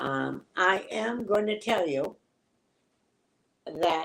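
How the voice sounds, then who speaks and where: A woman talks with lively intonation. Vocal fry runs through her voice. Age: 70s. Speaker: psychic reader. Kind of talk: live stream reading.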